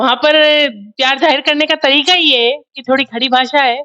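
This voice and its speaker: Her voice is raised and projected, with a high pitch and a bright, sharp tone. This woman keeps her intonation fairly even. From Mewar, Rajasthan (Udaipur region). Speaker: politician. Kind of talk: interview.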